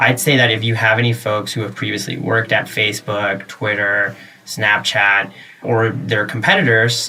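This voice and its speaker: Fairly low-pitched male voice with an American accent, fairly even intonation, and noticeable background noise. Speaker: tech journalist. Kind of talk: podcast interview. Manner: many fillers and hesitations.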